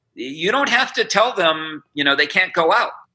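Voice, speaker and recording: Raised and projected, a man's high, bright, sharp voice swings very widely in pitch on a very clean recording with a silent background. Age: 60s. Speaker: businessman and former state attorney general. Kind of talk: interview.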